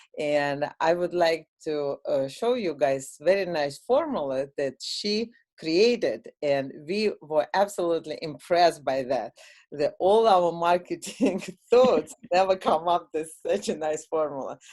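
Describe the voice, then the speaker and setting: A woman with a Russian accent speaks fairly slowly at a fairly low pitch with lively intonation, over a quiet background. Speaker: software product owner. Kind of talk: product demo. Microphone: video call.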